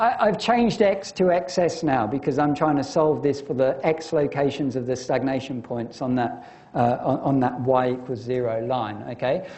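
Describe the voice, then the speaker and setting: At a moderate pace, a man with a fairly high pitch and ordinary pitch variation talks amid noticeable background noise and audible room echo. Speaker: university lecturer. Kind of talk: lecture. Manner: halting, many fillers.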